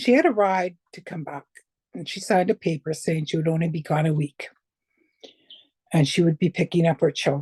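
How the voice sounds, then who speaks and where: At a fairly quick pace broken by long, frequent pauses, a woman speaks in a somewhat breathy, dark, mellow tone at a fairly low pitch, with ordinary pitch variation and big swings in loudness. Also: dry, close sound with no echo. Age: 60s. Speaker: abuse survivor. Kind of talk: testimony.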